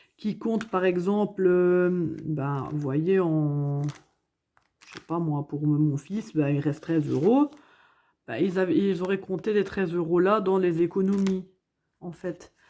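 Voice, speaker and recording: In a Belgian accent, a woman speaks at a very slow pace with long, frequent pauses, a dark, mellow tone and ordinary pitch variation. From Belgium, Hainaut province. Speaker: budgeting vlogger. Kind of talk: casual vlog chat. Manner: hesitant, many fillers.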